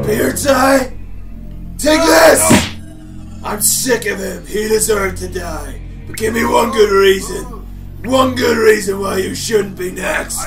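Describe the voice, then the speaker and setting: A put-on character voice from a man, high-pitched for a man and fairly slow, with clear music in the background. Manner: angry, menacing, impatient.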